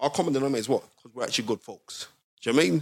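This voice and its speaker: In a South London accent, a man speaks with an animated tone and lively intonation at a fairly high pitch, recorded dry and close with no echo against a silent background on a very clean recording. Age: 40s. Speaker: boxing historian and pundit. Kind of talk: casual chat.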